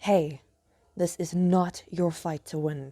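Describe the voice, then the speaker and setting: Someone uses a put-on character voice at a middle pitch and a fairly slow pace. The recording is very clean, with a silent background. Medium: read story. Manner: blunt, direct.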